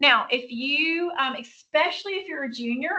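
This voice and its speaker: The speaker is a woman. She shows ordinary pitch variation. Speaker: high school chemistry teacher. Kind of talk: recorded lecture. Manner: casual, with many fillers.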